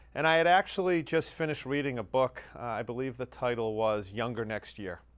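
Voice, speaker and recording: With an American accent and a normal speaking voice, a man talks at medium pitch and a fairly quick pace with lively intonation. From US Northeast, Massachusetts North Shore. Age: 50s. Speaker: fitness client giving a testimonial. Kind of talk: testimony.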